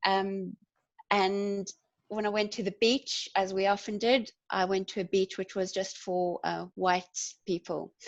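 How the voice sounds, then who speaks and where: Speaking in a South African accent, a woman talks at medium pitch and a fairly slow pace with monotone, flat intonation, in a dry, close sound with no echo. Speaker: community development worker and activist. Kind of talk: panel discussion.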